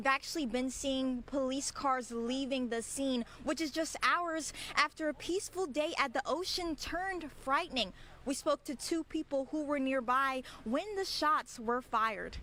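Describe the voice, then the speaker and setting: Raised and projected, a woman's high-pitched voice moves at a moderate pace with ordinary pitch variation. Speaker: TV news reporter. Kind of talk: TV news reporter package and live shot.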